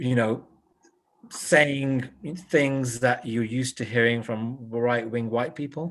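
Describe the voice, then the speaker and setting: A man speaks very slowly at a medium pitch. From England, West Midlands (Wolverhampton). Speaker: author and journalist. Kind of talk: live-streamed book discussion. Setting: online live stream.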